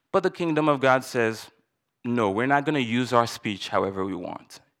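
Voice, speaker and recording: An unremarkable speaking voice from a man at medium pitch, with ordinary pitch variation and a very clean recording over a silent background. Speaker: church elder. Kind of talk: sermon. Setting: church.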